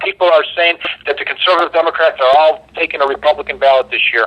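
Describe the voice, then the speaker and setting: A man talks at a very fast pace. He has a strong Chicago accent. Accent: thick Chicago. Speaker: local politician. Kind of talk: political talk radio interview.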